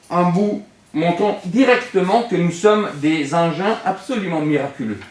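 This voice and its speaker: Noticeable background noise and audible room echo surround a man with a high pitch. He speaks at a fairly slow pace with lively intonation. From Italy. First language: Italian (speaking French). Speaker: philosophy teacher. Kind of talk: classroom lecture. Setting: classroom with students. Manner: animated.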